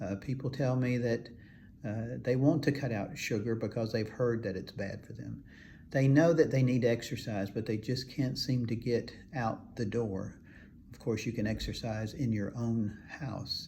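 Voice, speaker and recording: This man has a medium-pitched voice with a dark, mellow tone and a somewhat breathy quality. Room echo can be heard. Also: fairly even intonation, moderate pace. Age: 70s. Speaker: functional medicine doctor. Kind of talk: health advice talk to camera. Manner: halting, many filler words.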